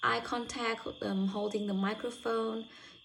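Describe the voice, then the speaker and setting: This is a woman with a fairly high pitch. Noticeable background noise runs under her voice. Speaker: university student. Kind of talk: spoken self-reflection. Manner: halting.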